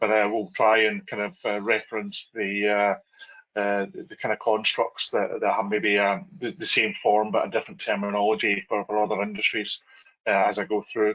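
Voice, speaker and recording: A slight Scottish accent at a moderate pace with hardly any pauses. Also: man. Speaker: oil and gas contracting panelist. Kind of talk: virtual panel presentation. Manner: halting, many fillers.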